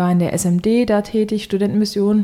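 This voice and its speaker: A woman speaks at a moderate pace in a dark, mellow tone of medium pitch. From Germany, Hesse. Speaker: singer-songwriter. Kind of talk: casual interview.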